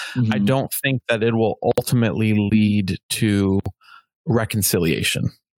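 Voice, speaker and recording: With a plain, everyday voice, a man speaks at a moderate pace in a fairly low pitch, with ordinary pitch variation, very even loudness and a dry, close sound with no echo. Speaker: muralist and street painter. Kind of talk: casual chat. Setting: video call.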